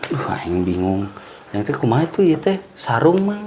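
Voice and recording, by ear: In a room with audible echo, a man speaks at a moderate pace with a fairly high pitch, a slightly mellow tone and big pitch swings.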